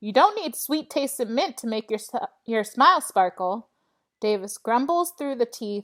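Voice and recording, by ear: Natural read-aloud voice, intonation lively, background quiet.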